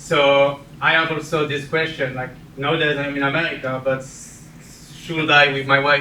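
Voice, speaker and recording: Man with a French accent, fairly high pitch, monotone and flat, fairly slow pace, audible room echo and noticeable background noise. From France. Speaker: community member sharing experience. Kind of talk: personal testimony to audience. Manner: halting.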